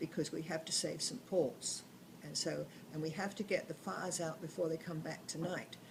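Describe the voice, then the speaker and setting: A woman's fairly low, somewhat breathy voice with fairly even intonation at a moderate pace. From southern England. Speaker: grandmother telling wartime memories. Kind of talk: oral history storytelling. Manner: halting.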